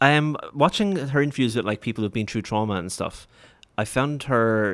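Speaking at a fairly quick pace in a Waterford Irish accent, a man uses ordinary pitch variation on a very clean recording with a silent background. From Ireland, Waterford. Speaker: podcast host. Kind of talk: casual chat. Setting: studio.

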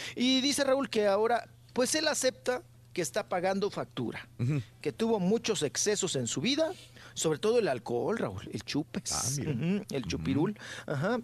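Moderate pace against a quiet background. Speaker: entertainment commentator. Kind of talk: casual radio chat.

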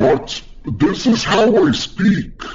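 A man's high-pitched, put-on character voice over light background noise.

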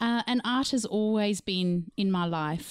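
A woman speaks with a slight Zimbabwean accent and ordinary pitch variation. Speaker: artist. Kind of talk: casual chat.

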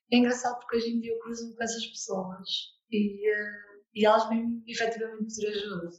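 A woman's fairly high, monotone voice at a fairly quick pace with long, frequent pauses, in audible room echo. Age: 20s. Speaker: therapist and coach. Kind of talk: interview testimony.

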